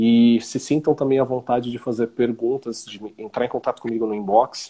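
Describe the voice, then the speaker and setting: Moving at a moderate pace, a dark, mellow voice holds a monotone, flat intonation while its loudness swings widely. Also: man, medium pitch for a man. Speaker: holistic therapist. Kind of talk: live stream chat. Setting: online live stream. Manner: talkative.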